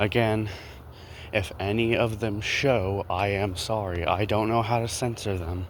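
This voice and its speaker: A man with a fairly low pitch speaks with fairly even intonation, and there is audible room echo. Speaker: small content creator, vlogger. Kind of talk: casual walking vlog commentary. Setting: outdoors, walking around neighborhood. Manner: rambling, halting with fillers.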